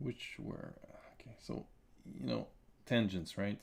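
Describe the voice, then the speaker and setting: A man speaks at a moderate pace with a non-native accent and a fairly low pitch. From Quebec. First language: French. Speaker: comic artist and illustrator; comic artist streamer. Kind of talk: live-stream drawing commentary; live drawing tutorial commentary. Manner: halting, many fillers and repetitions. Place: home room.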